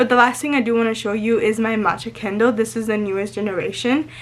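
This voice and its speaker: Over noticeable background noise, a woman with a Spanish accent speaks very fast at a fairly high pitch. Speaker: lifestyle vlogger. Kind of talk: casual chat to camera. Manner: excited, sometimes not fully pronouncing words; halting with fillers.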